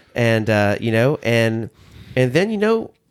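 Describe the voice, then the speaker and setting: A man with a Southern US accent speaks at a medium pitch in a very clean recording with a silent background. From US South. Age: 30s. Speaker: podcast host, former minister. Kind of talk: casual chat.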